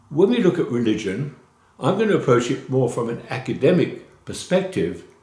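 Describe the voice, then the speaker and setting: Audible room echo surrounds a man talking at a moderate pace, his pitch swinging very widely. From London, England. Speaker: college instructor. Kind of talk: course introduction lecture. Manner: informal, with filler hesitations.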